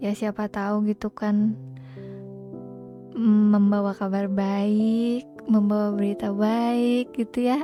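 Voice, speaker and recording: Soft-spoken and fairly high in pitch, a woman talks at a very slow pace with fairly even intonation while music plays in the background. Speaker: live streamer. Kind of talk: casual live stream talk to viewers.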